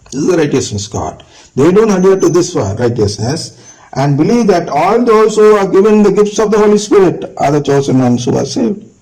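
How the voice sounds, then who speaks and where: A man's high voice at a fairly quick pace with very wide pitch swings, noticeable background noise and audible room echo. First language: not English. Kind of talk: lecture. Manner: halting.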